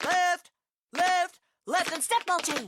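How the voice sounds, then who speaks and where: The voice is a put-on character voice. It sits at an extremely high pitch. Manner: barking, loud, commanding.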